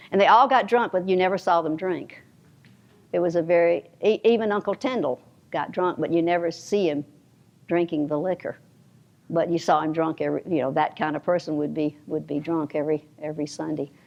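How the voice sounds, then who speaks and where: Speaking at a fairly quick pace, a woman with a Southern US accent has a fairly low pitch and ordinary pitch variation. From US South, North Carolina. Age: 70s. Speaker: novelist. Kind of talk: author talk with audience. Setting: library event with audience. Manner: halting, with many repetitions.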